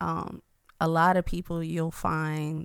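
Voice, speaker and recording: A woman with an ordinary speaking voice and an American accent, at a fairly low pitch with ordinary pitch variation. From US South, Atlanta. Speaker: artist, nonprofit founder. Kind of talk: interview conversation.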